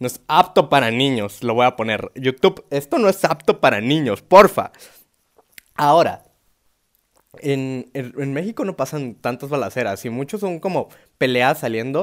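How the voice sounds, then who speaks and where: A man's fairly high voice with a Mexican accent, animated in tone and lively in intonation, at a fairly slow pace, in a dry, close sound with no echo. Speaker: stand-up comedian. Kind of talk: stand-up comedy with dark humor. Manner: animated, slangy, irreverent with swearing and sound effects; rambling, self-interrupting, laughing at own jokes.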